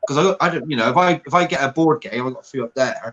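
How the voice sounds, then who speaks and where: This man has a strong Bristolian accent and ordinary pitch variation. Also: dry, close sound with no echo. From England, Bristol. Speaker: reseller, former plumber. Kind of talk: casual chat.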